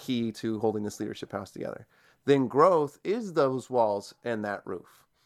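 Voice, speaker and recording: Here is an ordinary speaking voice from a man at medium pitch. He keeps a moderate pace on a very clean recording with a silent background. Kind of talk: casual interview chat.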